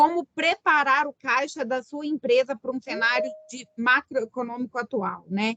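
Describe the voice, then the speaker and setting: A woman with a high voice talks fairly slowly. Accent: Minas Gerais. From Minas Gerais, Brazil. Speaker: business consultant and webinar host. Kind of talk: webinar presentation. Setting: online webinar.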